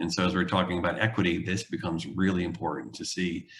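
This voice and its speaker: A man speaks with a very deep, low pitch. His tone is bright and sharp. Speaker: urban planning consultant. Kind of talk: public presentation. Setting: video call. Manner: hesitant, many fillers.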